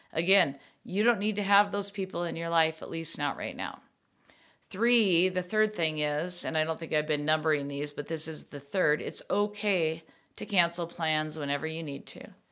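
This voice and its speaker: Heard in a very clean recording with a silent background, a woman with a bright, sharp tone and a fairly low pitch speaks at a moderate pace with ordinary pitch variation. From US Midwest, Minnesota. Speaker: podcast host, bereaved parent. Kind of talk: personal monologue podcast.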